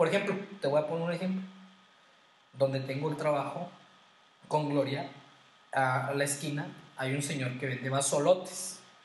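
With long, frequent pauses, a man speaks at a fairly high pitch amid noticeable background noise and audible room echo. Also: moderate pace. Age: 20s. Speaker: podcast co-host, former seminarian. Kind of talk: casual chat.

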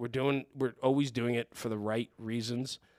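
In a very clean recording with a silent background, a man with an American accent talks at a fairly quick pace in a medium pitch and a monotone, flat intonation. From New Jersey. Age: 40s. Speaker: podcaster and former fire chief. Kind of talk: casual interview chat.

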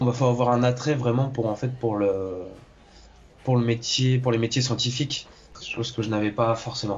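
Monotone, flat delivery from a man at a medium pitch and a moderate pace, with long, frequent pauses. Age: 20s. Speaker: engineer turned aspiring actor. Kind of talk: interview. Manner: halting, many hesitations and repetitions.

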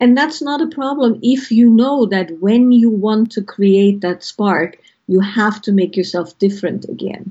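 Somewhat breathy, a woman speaks at a medium pitch, fairly slowly, with ordinary pitch variation. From Austria. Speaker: author and intimacy counselor. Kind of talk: interview.

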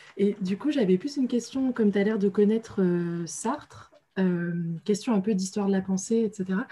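A woman uses a plain, everyday voice at medium pitch, speaking at a moderate pace with ordinary pitch variation. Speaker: seminar attendee. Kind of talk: question from audience. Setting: video call.

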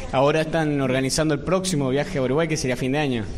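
Speaking at a fairly quick pace over noticeable background noise, a man with a Rioplatense accent keeps a fairly high pitch and fairly even intonation. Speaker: radio show host. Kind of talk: live interview show with audience. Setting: stage with audience.

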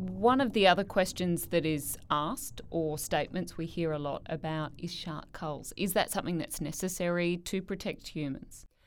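A woman with an Australian accent speaks at a moderate pace with hardly any pauses. Her fairly low pitch shows ordinary variation on a very clean recording with a silent background. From Queensland, Australia. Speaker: podcast host. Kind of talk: interview.

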